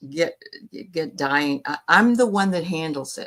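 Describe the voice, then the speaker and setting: On a very clean recording with a silent background, an ordinary speaking voice proceeds at a moderate pace. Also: woman. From New England, north of Boston. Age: 60s. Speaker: spiritual reader and medium. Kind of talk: interview.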